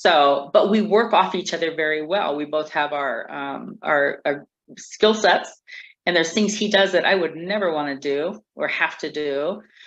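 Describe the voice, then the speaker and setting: A plain, everyday voice from a woman, fairly low in pitch, with ordinary pitch variation at a moderate pace. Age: 60s. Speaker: community organizer. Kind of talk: interview.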